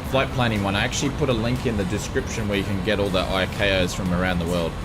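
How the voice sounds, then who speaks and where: Delivered at a very fast pace in an Australian accent, the speech has ordinary pitch variation and very even loudness, with audible room echo and music in the background. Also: man, fairly low pitch for a man. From Australia, Geelong, Victoria. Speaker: flight sim streamer. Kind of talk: live stream commentary. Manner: animated.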